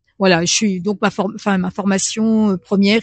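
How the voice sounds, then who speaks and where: Against a quiet background, a woman with a medium pitch and a somewhat breathy voice speaks at a moderate pace in a monotone, flat intonation, with a dry, close sound and no echo. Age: 60s. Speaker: French as a foreign language trainer. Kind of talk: radio interview. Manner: halting, many hesitations.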